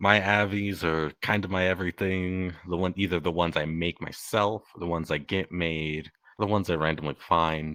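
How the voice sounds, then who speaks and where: A man with a very deep, low pitch and a bright, sharp tone speaks at a moderate pace with fairly even intonation and hardly any pauses. The sound is dry and close with no echo, on a very clean recording with a silent background. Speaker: VR chat user. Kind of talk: casual chat. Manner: monotone.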